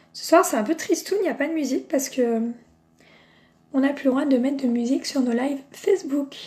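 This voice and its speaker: Talking fairly quickly with long, frequent pauses, a woman with a high voice shows ordinary pitch variation. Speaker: makeup seller and beauty vlogger. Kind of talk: live makeup tutorial. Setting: Facebook live video. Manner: chatty, enthusiastic.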